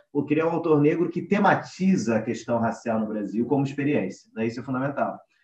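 A man speaks in a plain, everyday voice, fairly high in pitch. His pace is fairly quick and his intonation lively. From Rio de Janeiro. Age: 20s. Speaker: literature researcher. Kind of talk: panel discussion. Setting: remote recording.

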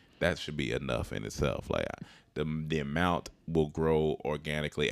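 This man's pitch sits very deep and low. His voice carries vocal fry. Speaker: comedian and actor. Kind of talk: casual chat. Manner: casual, halting.

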